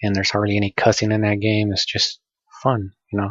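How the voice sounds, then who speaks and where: Soft-spoken and somewhat breathy, a man talks with a fairly low pitch. He goes at a fairly quick pace. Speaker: gamer vlogger. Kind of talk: casual monologue. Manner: halting. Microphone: poor audio quality.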